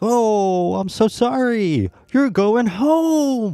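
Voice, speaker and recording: Putting on a character voice, a man speaks loudly and very slowly, pitched high with lively intonation. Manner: exaggeratedly excited.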